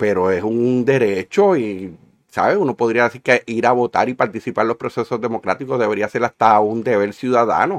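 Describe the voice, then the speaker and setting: At a fairly quick pace, a man speaks in a normal speaking voice of medium pitch with ordinary pitch variation, the sound dry and close with no echo against a quiet background. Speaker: podcast co-host, engineer. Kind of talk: casual political chat.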